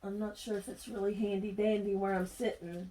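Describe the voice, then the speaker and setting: At a moderate pace, a woman speaks with a fairly high pitch. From Kentucky, US South. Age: 50s. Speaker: crafter. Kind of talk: craft tutorial chat. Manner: casual, chatty.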